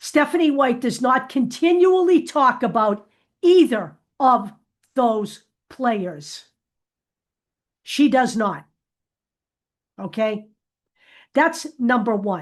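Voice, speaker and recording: Against a quiet background, a woman with a high pitch speaks at a very slow pace, her pitch swinging very widely and her speech broken by long, frequent pauses. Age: 70s. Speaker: YouTube basketball commentator. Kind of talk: monologue vlog. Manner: emphatic.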